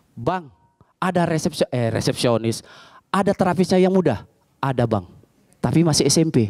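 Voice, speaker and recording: A man speaks in an animated tone at a moderate pace, with long, frequent pauses. The background is quiet. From Medan, North Sumatra, Indonesia. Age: 40s. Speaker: stand-up comedian. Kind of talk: stand-up comedy set, storytelling jokes with acted-out dialogue. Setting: stage with live audience. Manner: animated, punchy delivery with comic voices for characters. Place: cafe. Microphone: handheld.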